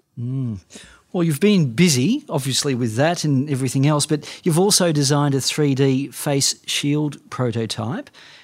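Fairly high in pitch with ordinary pitch variation, a man talks in a normal speaking voice on a very clean recording with a silent background. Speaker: podcast interviewer. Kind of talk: interview conversation.

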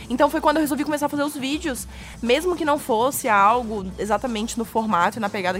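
High-pitched female voice with ordinary pitch variation over background music. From Florianópolis, southern Brazil. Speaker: comedian. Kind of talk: casual chat. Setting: studio.

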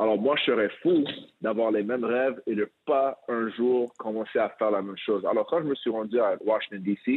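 Moderate pace and ordinary pitch variation in a man's medium-pitched speech, a plain, everyday voice. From Quebec, Montreal. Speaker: former pro basketball player and coach. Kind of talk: interview.

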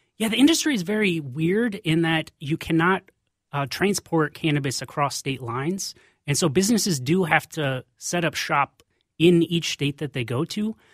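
A man's fairly high voice with lively intonation at a moderate pace, dry and close with no echo, on a very clean recording with a silent background. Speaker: cannabis policy lobbyist. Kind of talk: radio interview. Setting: radio studio. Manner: calm.

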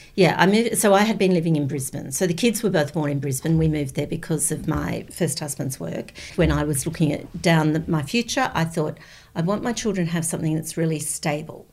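A woman with an Australian accent speaks in a very deep, low pitch that is somewhat breathy. Her pace is fairly quick and her pitch varies in an ordinary way. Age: 60s. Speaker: former school principal. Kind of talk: casual chat.

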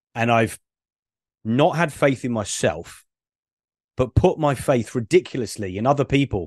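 A man speaks with a British accent and lively intonation, leaving long, frequent pauses. The background is quiet. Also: medium pitch for a man, moderate pace, dry, close sound with no echo. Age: 40s. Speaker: ADHD business coach. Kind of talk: casual interview. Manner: halting, many fillers.

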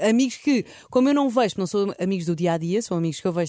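Very fast and lively in intonation, a woman's medium-pitched voice has a dark, mellow tone on a very clean recording with a silent background. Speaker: podcast host. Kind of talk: casual chat.

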